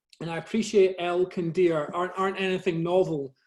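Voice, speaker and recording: A man's high-pitched, fairly quick speech with a Scottish accent. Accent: soft Scottish. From Scotland, Glasgow area. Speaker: nature photographer. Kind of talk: presentation to a camera club. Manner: halting, many fillers and repeats.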